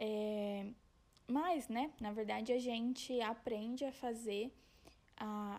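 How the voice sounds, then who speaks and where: With a Paraná accent, a woman talks in a fairly even intonation. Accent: Paraná interior accent, rolled R. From interior of Paraná, Brazil. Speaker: podcast host. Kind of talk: personal storytelling monologue. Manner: casual, conversational.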